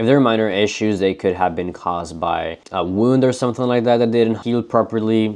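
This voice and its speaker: Speaking with a non-native accent, a man uses a fairly low pitch and ordinary pitch variation. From not the US. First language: not English. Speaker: pet reptile keeper and breeder. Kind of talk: educational tutorial.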